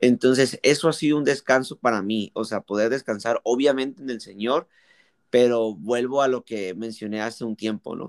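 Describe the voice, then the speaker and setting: A man's unremarkable speaking voice at medium pitch with ordinary pitch variation and a moderate pace, in a very clean recording with a silent background and a dry, close sound with no echo. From Mexico. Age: 20s. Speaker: youth pastor. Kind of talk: casual interview.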